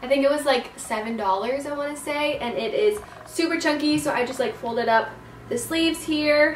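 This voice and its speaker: A high-pitched woman's voice at a moderate pace, with audible room echo and light background noise. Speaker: style vlogger. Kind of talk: casual vlog chat. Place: home room.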